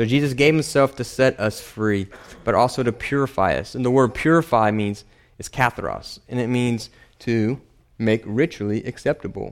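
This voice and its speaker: In a very clean recording with a silent background, a man talks at a moderate pace in an ordinary speaking voice with a medium pitch. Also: ordinary pitch variation. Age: 30s. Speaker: preacher. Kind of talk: sermon.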